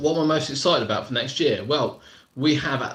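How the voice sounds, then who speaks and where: A man talks with a British accent. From southern England, Surrey. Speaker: theme park vlogger. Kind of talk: live stream chat. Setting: live stream from laptop. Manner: casual, repetitive.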